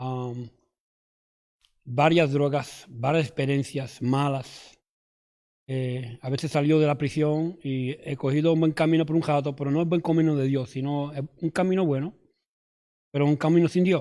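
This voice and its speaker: A man speaks at a fairly slow pace with long, frequent pauses. His pitch is fairly high and his intonation fairly even. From New York. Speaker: former addict giving testimony. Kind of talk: testimony. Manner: halting, many fillers and restarts.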